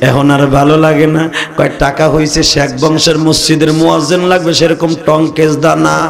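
A man with a fairly high pitch speaks at a very even loudness over noticeable background noise. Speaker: Islamic preacher. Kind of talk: sermon. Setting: stage with audience. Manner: animated. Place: stage. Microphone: podium.

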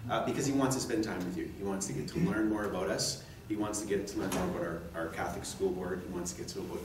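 With audible room echo and noticeable background noise, a man speaks at a fairly low pitch with ordinary pitch variation. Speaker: event organizer introducing the speaker. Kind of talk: speech introduction. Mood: warm, grateful. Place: meeting room. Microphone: podium.

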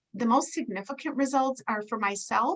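Speaking with an unremarkable speaking voice, a woman moves at a moderate speed and shows ordinary pitch variation. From US Midwest. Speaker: nurse and product distributor. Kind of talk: testimony. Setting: video call.

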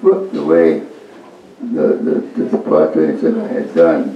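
A man talks in an American accent. Audible room echo and light background noise surround him. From United States. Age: 80s+. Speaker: poet. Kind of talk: interview answer. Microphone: camera far.

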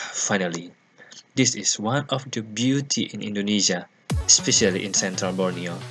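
Music plays clearly in the background. A man speaks with a fairly low pitch. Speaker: travel vlogger. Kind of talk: casual vlog chat. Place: waterside. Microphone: phone near.

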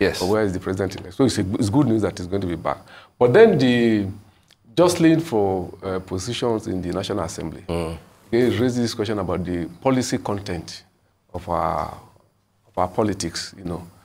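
With a Nigerian accent, a man speaks fairly quickly at a fairly low pitch with ordinary pitch variation. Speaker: newspaper executive and columnist reviewing headlines. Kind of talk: live TV newspaper review discussion. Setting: TV studio. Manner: hesitant, many fillers. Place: studio. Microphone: lapel.

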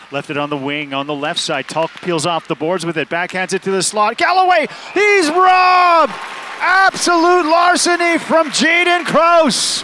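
Someone talks at a moderate pace over crowd noise in the background, with a dry sound and no echo. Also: man. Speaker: play-by-play announcer. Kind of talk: live sports commentary (play-by-play). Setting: game broadcast highlights. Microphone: headset.

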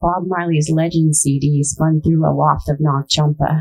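A woman's fairly low voice with an American accent, fairly slow pace, and faint music in the background. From New York State, US. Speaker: poet. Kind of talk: poetry reading. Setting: stage with audience in an auditorium. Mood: warm, friendly, lightly humorous. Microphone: podium.

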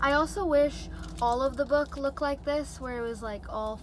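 The speech moves at a moderate pace with a dry, echo-free sound and noticeable background noise. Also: woman. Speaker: book vlogger. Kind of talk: casual vlog chat. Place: car. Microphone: phone near.

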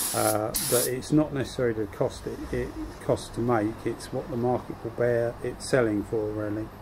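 A man's medium-pitched, monotone voice at a moderate pace, flat in intonation, over noticeable background noise. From UK. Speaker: YouTuber spraying hobbyist. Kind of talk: casual video ramble, tutorial. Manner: chatty, rambling. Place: workshop.

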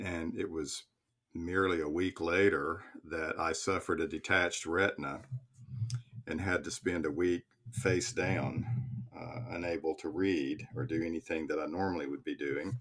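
A man speaks with a very deep, low pitch at a moderate pace and ordinary pitch variation. The recording is very clean, with a silent background. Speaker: minister and psychotherapist; professor of pastoral theology. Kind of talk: podcast interview answer.

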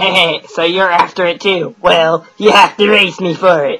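A put-on character voice at a middle pitch. It moves along at a moderate pace.

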